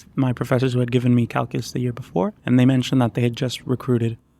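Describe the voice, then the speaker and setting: With a Puerto Rican accent, a man speaks at medium pitch with fairly even intonation and a dark, mellow tone. The sound is dry and close, with no echo. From Puerto Rico. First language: Spanish. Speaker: PhD student, computational neuroscientist. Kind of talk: interview.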